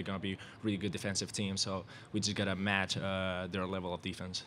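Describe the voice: A man with a Spanish accent, a low pitch, and a fairly bright tone at a fairly quick pace, with little pitch movement.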